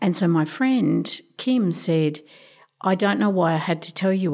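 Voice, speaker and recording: With an Australian accent and ordinary pitch variation, a woman speaks on a very clean recording with a silent background. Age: 50s. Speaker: domestic violence advocate. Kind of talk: interview.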